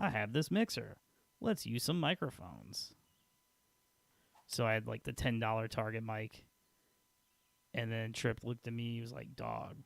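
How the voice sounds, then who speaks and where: A man with an American accent talks quietly at a moderate pace. Long pauses come often. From Peoria, Illinois, US Midwest. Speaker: gaming streamer. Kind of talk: casual chat. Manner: loud, boisterous; quieter late at night. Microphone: quiet level through old mixer.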